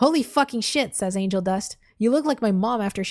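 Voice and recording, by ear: The words are read aloud in a natural voice.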